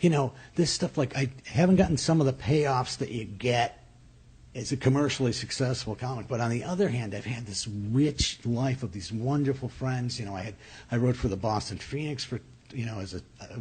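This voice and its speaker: Against a quiet background, a man with an American accent talks at a fairly quick pace in a somewhat breathy voice of medium pitch with ordinary variation. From upstate New York. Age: 50s. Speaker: comedian. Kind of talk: casual chat. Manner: halting.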